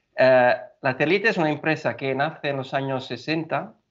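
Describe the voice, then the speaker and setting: Speaking in an Italian accent, a man uses a medium pitch. His delivery is moderately paced with fairly even intonation. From Italy. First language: Italian (speaking Spanish). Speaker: engineer at a building materials company. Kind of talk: podcast interview. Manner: hesitant, many fillers.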